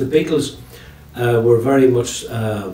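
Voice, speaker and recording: Noticeable background noise and audible room echo surround a man speaking with a Northern Irish accent. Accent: Tyrone Northern Irish. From Northern Ireland, County Tyrone. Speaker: retired teacher and storyteller. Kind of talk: interview chat. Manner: fast.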